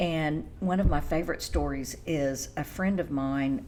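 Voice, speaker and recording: Through audible room echo, a woman with vocal fry and a dark, mellow tone speaks at a fairly slow pace. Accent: American. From Oklahoma. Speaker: etiquette consultant and banker. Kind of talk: interview.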